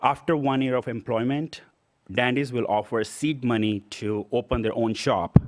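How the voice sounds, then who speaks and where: Speaking with a non-native accent, a man has a medium pitch. He keeps a moderate pace and fairly even intonation. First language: not English. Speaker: small business owner, award recipient. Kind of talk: acceptance speech. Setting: stage at awards event.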